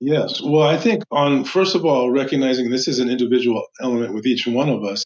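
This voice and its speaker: With an American accent and an unremarkable speaking voice, a man talks at a fairly quick pace and a medium pitch, with ordinary pitch variation and hardly any pauses. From US Midwest, Chicago. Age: 60s. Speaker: meditation instructor and life coach. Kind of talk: podcast interview.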